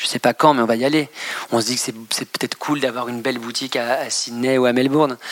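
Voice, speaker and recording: A man's very fast, monotone delivery at medium pitch, flat in intonation, dry and close with no echo, over noticeable background noise. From Normandy, France. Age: 30s. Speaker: fashion designer. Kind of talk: interview. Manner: hesitant, many fillers and repetitions.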